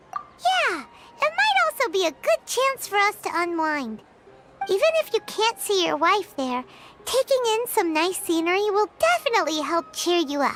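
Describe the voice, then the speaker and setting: At a moderate pace, a put-on character voice squeaks at an extremely high pitch. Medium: video game. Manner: easygoing, friendly.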